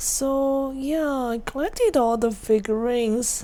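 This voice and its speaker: Very slowly, a woman with a Chinese accent speaks in a dark, mellow tone with fairly even intonation. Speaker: streamer. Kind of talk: casual live-stream chat.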